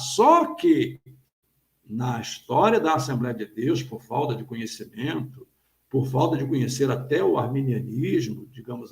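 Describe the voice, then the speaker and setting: Speaking at a fairly slow pace, the man's voice shows big swings in loudness. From Brazil, Rio de Janeiro state (Petrópolis). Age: 60s. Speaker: pastor and theologian. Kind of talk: interview on live stream.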